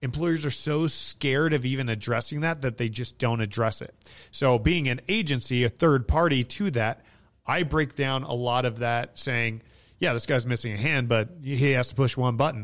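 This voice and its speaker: A man with an American accent and an unremarkable speaking voice speaks at medium pitch and a moderate pace. Pitch variation is ordinary, and the recording is very clean with a silent background. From Nevada, US. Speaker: military veteran and staffing agency CEO. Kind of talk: interview.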